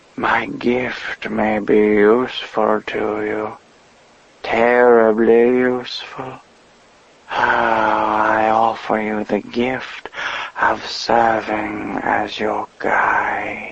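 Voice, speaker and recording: A man's put-on character voice, medium in pitch, flat and monotone, at a very slow pace. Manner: soothing.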